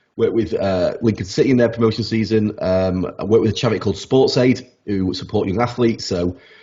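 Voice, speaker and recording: In a South Yorkshire accent, a man speaks very fast with hardly any pauses. His voice is fairly low in pitch and somewhat breathy, with fairly even intonation. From South Yorkshire (Rotherham). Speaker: sleep expert. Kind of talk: podcast interview. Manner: halting, many repetitions.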